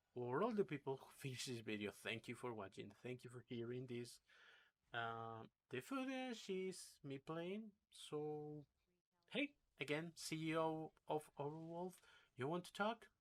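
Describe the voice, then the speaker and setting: A man with a non-native accent speaks in very wide pitch swings, with long, frequent pauses. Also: fairly high pitch for a man, fairly slow pace. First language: not English. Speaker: gaming YouTuber. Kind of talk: rant. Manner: animated.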